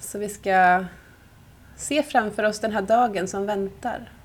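A woman speaks at a very slow pace. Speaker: yoga nidra teacher. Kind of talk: guided meditation. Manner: slow, soft-spoken, calm and soothing with long pauses.

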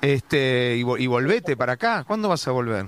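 The sound is dry and close, with no echo at all. A man talks at a moderate pace. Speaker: radio host. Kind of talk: radio interview. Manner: animated.

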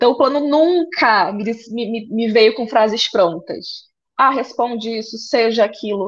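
The speaker talks at a fairly slow pace in a Pará accent. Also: woman. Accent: Paraense Brazilian Portuguese. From Brazil, Pará (interior near Belém). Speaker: flight attendant. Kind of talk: casual interview.

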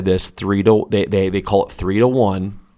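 A man with an American accent talks with ordinary pitch variation on a very clean recording against a silent background. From Detroit, Michigan. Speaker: high school girls basketball coach. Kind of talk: casual interview. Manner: frequent fillers and hesitations.

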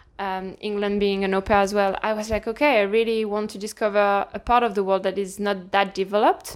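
A French accent colors this speech. The background is silent and the recording very clean. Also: woman. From northern France. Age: 20s. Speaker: personal trainer. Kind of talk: casual chat.

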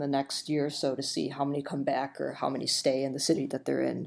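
A woman speaks fairly quickly with an American accent, in a dark, mellow tone. The recording is very clean, with a silent background. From Illinois. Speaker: designer. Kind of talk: casual chat.

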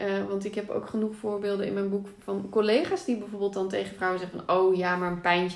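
A woman's medium-pitched voice, monotone and flat, fairly quick with hardly any pauses, amid audible room echo and noticeable background noise. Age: 30s. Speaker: author and pregnancy yoga teacher. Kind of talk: casual interview.

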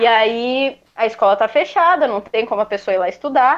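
A woman's lively intonation. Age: 20s. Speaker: guitarist and music school owner. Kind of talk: casual interview.

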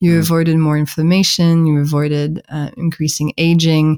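Speaking with a French accent, a woman has a fairly low pitch and a dark, mellow tone. The sound is dry and close with no echo. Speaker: podcast guest, book author.

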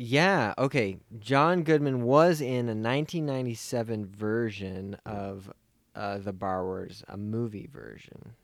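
In a very clean recording with a silent background, a man with an unremarkable speaking voice talks at a medium pitch and a fairly slow pace, his intonation lively and his loudness swinging widely. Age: 30s. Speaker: film podcast co-host. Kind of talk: casual chat.

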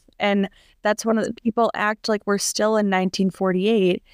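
Recorded very cleanly against a silent background, a woman speaks at a medium pitch with a dry, close sound that has no echo. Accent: American. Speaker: podcast host. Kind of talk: interview and panel moderation. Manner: enthusiastic.

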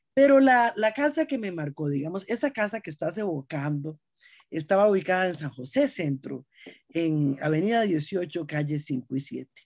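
A woman with a Costa Rican accent speaks fairly slowly in a fairly low voice with very wide pitch swings, on a very clean recording with a silent background. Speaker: writer and storyteller. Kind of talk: interview.

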